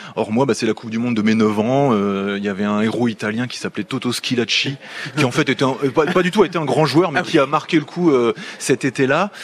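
A man's medium-pitched, fairly quick speech with lively intonation over noticeable background noise. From southern Picardy, France (between Clermont and Chantilly). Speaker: sports commentator and journalist. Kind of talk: radio interview. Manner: hesitant, with frequent fillers and repetitions.

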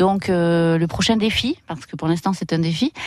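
A woman with an ordinary speaking voice speaks at a moderate pace with ordinary pitch variation. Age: 40s. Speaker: escape game manager. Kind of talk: radio interview testimony.

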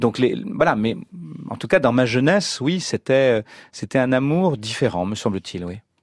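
At a fairly slow pace, a man with a plain, everyday voice speaks at medium pitch with lively intonation, the sound dry and close with no echo on a very clean recording with a silent background. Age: 50s. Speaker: novelist. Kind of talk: radio interview.

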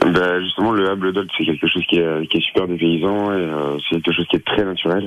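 A man speaks with a very deep, low pitch at a fairly quick pace. His intonation is monotone and flat. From Picardy coast, Somme (France). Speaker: wine bar manager. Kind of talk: radio interview. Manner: halting, many fillers.

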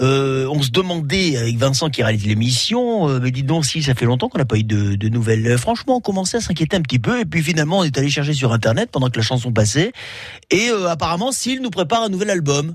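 A man's fairly high voice at a very fast pace, with very wide pitch swings and noticeable background noise. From Menton, French Riviera. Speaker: radio host. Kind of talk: live radio presenting. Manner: animated.

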